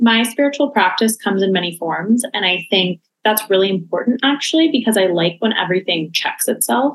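A woman with an American accent talks at a fairly quick pace in a fairly high pitch, with lively intonation and very even loudness. She has an unremarkable speaking voice. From Los Angeles. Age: 30s. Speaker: creative studio founder. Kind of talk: casual chat.

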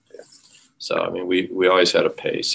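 A man talks at a moderate pace. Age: 60s. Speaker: orthopedic trauma surgeon. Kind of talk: interview conversation.

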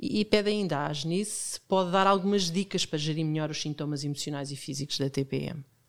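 Moving at a fairly quick pace with hardly any pauses, the speaker shows ordinary pitch variation on a very clean recording with a silent background. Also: woman, very deep, low pitch for a woman. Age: 50s. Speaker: podcast host. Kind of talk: interview.

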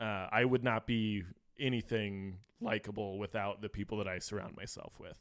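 Monotone, flat intonation from a man at fairly low pitch, moderate pace, and big swings in loudness. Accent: American. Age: young. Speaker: brewer. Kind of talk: casual chat.

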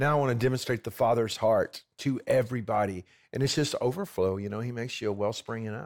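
Very fast speech comes in an American accent with ordinary pitch variation. The recording is very clean, with a silent background. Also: man, medium pitch for a man. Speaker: pastor and missionary. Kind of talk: casual interview chat. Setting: studio, on a couch.

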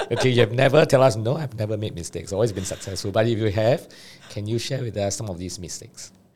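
A man with a somewhat breathy voice at a medium pitch talks at a very fast pace with ordinary pitch variation. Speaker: podcast host. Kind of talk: interview conversation.

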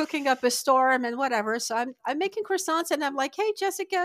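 Talking at a very fast pace, a woman with a French accent has a high pitch and very wide pitch swings. The sound is dry and close, with no echo. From northern France (Lille). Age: 50s. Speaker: immigrant sharing her story. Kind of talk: casual interview chat. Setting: remote call.

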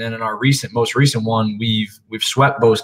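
A man with a normal speaking voice and medium pitch talks at a fairly quick pace. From Philadelphia. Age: 30s. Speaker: college basketball assistant coach. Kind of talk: casual interview.

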